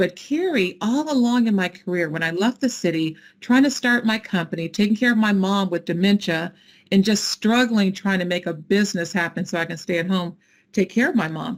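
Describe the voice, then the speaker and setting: This is a woman with an ordinary speaking voice at medium pitch and ordinary pitch variation. She talks at a fairly quick pace on a very clean recording with a silent background. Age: 60s. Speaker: nonprofit founder. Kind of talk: fireside chat interview.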